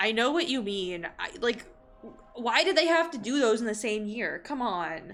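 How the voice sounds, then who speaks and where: An animated voice with an American accent at a moderate pace, with very wide pitch swings over noticeable background noise. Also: woman, fairly high pitch for a woman. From California, Bay Area. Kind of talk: casual chat. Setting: live stream.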